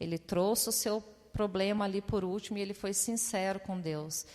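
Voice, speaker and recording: At a fairly slow pace, a woman talks in an ordinary speaking voice at medium pitch, with ordinary pitch variation. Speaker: preacher. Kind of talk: sermon.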